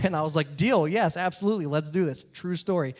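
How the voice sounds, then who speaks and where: A high-pitched man with an American accent, on a very clean recording with a silent background. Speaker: comedian. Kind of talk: stand-up.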